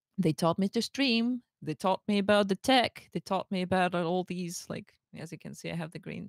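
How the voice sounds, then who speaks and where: Speaking with lively intonation at a moderate pace, a woman at a medium pitch sounds dry and close, with no echo. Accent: Slavic. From Russia. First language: Russian. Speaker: streamer. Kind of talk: interview on a livestream. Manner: halting, repeats words.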